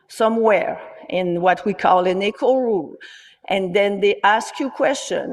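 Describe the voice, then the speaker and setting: A woman's intonation is lively. She keeps to a moderate pace. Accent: French. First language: French. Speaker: gynecologist. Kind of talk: conference talk. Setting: online conference.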